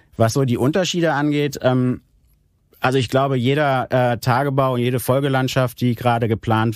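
This man's pitch is in the medium range. He talks at a moderate speed. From Germany, Aachen (Rhineland). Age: 40s. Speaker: regional development manager. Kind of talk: interview. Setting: studio. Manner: hesitant, many filler sounds.

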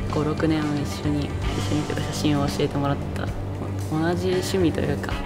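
Loud music fills the background while a woman speaks at a moderate pace. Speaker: photographer. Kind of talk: interview answer. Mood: warm, slightly shy. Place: hall.

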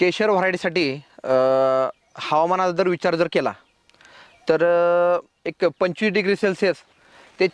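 The sound is dry and close, with no echo. A man talks at a high pitch. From Maharashtra, Solapur district. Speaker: horticulturist and nursery owner. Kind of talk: farming advice interview. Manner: halting, many pauses and fillers.

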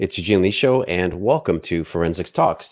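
Over a quiet background, a man with a very deep, low voice talks at a fairly quick pace. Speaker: podcast host. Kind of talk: show intro and announcements. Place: studio. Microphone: studio mic.

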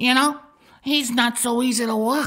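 A woman is speaking. Her pitch is high. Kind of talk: comic gangster sketch. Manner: naive, cheerful, slow.

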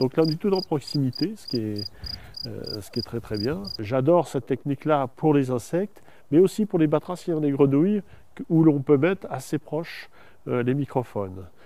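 Lively intonation marks this man's fairly high voice. He speaks at a moderate pace. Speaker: nature sound recordist. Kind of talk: documentary field explanation. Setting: outdoors.

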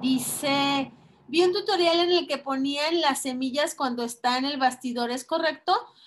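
A woman with a Mexican accent, at a fairly slow pace. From Mexico, Guadalajara; Jalisco, Mexico. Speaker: crafts teacher. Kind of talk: online class tutorial. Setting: video call. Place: workshop.

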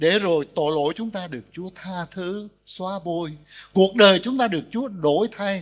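Against a quiet background, a man talks at a very slow pace. His voice is high-pitched, with lively intonation. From Vietnam. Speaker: pastor; pastor preaching. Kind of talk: sermon. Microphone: podium.

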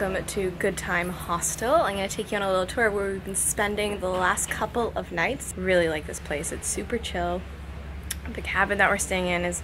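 A woman talks at a fairly quick pace. Background noise is noticeable. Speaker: travel vlogger. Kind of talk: casual vlog tour. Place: beach. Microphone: phone near.

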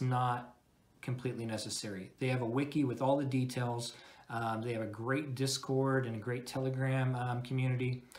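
At a moderate pace, a man delivers his words. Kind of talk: product review talk over slides.

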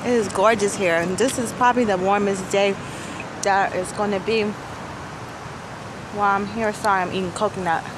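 With long, frequent pauses, a woman talks over noticeable background noise in a dry sound with no echo. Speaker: vlogger on a work trip. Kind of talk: casual vlog chat. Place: street. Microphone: phone near.

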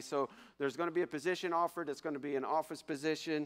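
The background is silent. A man does the talking. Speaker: pastor giving announcements. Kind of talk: church announcements. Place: church. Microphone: podium.

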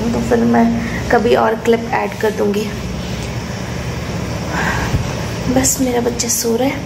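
A woman's voice with noticeable background noise. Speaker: new mother vlogger. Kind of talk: casual vlog chat. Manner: sleepy, slow, low-energy voice. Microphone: phone near.

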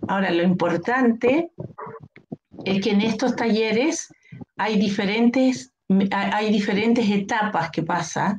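Against light background noise, a woman speaks at a very slow pace in a fairly high pitch, with ordinary pitch variation, very even loudness and long, frequent pauses. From Chile. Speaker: occupational therapist, nonprofit director. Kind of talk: interview. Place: home room. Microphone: connection dropping; webcam.

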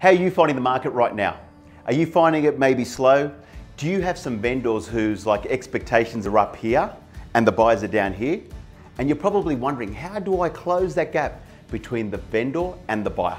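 Faint background music behind a man talking at a moderate pace. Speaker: sales coach. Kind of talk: motivational talk to camera. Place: office. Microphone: lapel.

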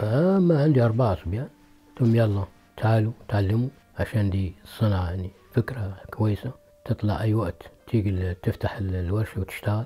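At a moderate pace, a man talks with a fairly low pitch and ordinary pitch variation over light background noise. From Egypt. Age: 60s. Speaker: blacksmith. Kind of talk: interview. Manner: halting. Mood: calm, proud of craft. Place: workshop.

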